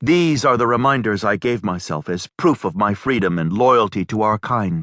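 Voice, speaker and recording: A man puts on a character voice, fairly low in pitch, with lively intonation. He speaks at a moderate pace in a dry, close sound with no echo. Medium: read story.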